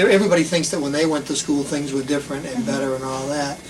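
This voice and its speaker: Man with a Boston accent, fairly high pitch and fairly even intonation, amid noticeable background noise and audible room echo. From Boston area, Massachusetts. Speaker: school principal. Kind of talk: interview. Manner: casual, halting.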